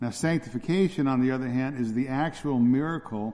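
A man with a dark, mellow tone and a medium pitch speaks at a fairly quick pace. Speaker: pastor. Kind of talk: sermon. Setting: church. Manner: fast, dense delivery.

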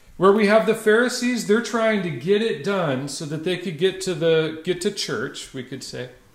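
A man with a high pitch speaks at a fairly slow pace with lively intonation and big swings in loudness. He hardly pauses, and there is audible room echo. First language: English (speaking French). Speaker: pastor. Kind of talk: sermon preached in English with live interpretation. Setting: church.

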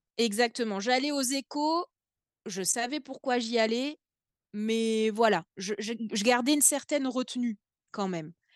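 A woman's fairly high voice at a fairly slow pace, with ordinary pitch variation, long and frequent pauses, a quiet background and a dry, close sound with no echo. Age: 30s. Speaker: young mother with endometriosis. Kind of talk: casual interview.

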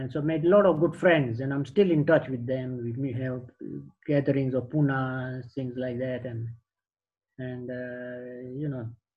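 The voice is somewhat breathy, with fairly even intonation. It moves at a fairly slow pace with big swings in loudness. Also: man, medium pitch for a man. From Tanzania, Indian family. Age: 70s. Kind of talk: life story interview.

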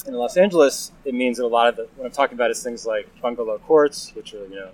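A man talks with a normal amount of pitch movement as clear background noise carries on. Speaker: housing advocate and urban planner. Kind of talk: casual interview. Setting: outdoors at a train station courtyard. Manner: hesitant with fillers.

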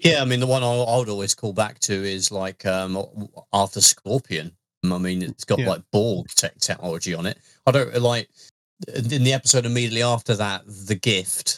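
This man has a fairly low voice and an East Midlands accent. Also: ordinary pitch variation, moderate pace, dry, close sound with no echo. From Leicester, English Midlands. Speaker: podcast co-host. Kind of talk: casual chat.

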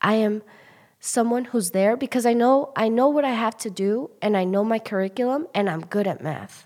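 This woman has an unremarkable speaking voice, fairly high in pitch, with ordinary pitch variation at a moderate pace. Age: 20s. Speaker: elementary school teacher. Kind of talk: casual interview.

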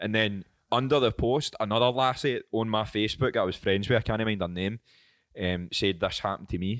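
A man talks in a Scottish accent at a very fast pace. His pitch is fairly low, with ordinary pitch variation. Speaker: podcast host. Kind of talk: casual chat.

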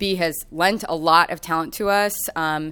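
A woman's fairly low voice in an American accent, an unremarkable speaking voice with fairly even intonation, on a very clean recording with a silent background. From Kansas City, US Midwest. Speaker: tenant organizer and housing researcher. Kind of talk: rally speech, pleading and rousing audience to act. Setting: live event with audience.

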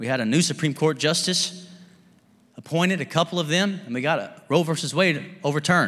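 Over noticeable background noise, a man with an American accent talks at a fairly quick pace in a fairly high pitch with an animated tone. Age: 30s. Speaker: pastor. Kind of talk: sermon. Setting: church with live congregation. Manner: animated, fervent preacher in full flow, urging the congregation to respond with amens.

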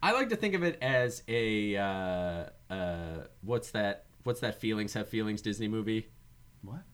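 At a fairly slow pace, a man with a fairly low pitch talks in a plain, everyday voice with ordinary pitch variation. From Newfoundland, Canada. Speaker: podcast host, filmmaker and comedian. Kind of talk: casual chat.

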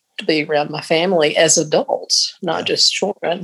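A woman speaks in a very deep, low voice with a Southern US accent. Her pace is fairly slow. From Mississippi. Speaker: church choir member and retired piano teacher. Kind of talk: casual interview.

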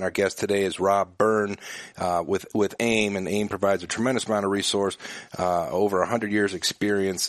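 This man has a plain, everyday voice with fairly low pitch. He talks at a fairly quick pace with fairly even intonation. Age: 40s. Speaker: business association head and radio host. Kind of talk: interview.

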